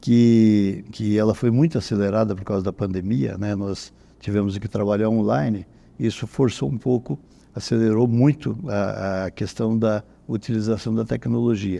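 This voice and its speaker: With a dark, mellow tone and fairly low pitch, a man talks at a moderate pace with ordinary pitch variation. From Brazil, interior of Paraná state. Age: 70s. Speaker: head of a real estate brokers' professional council. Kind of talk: podcast interview.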